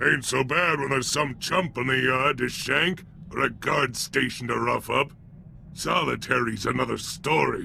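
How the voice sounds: At a fairly slow pace, a man does a put-on character voice at medium pitch with a bright, sharp tone, ordinary pitch variation and vocal fry.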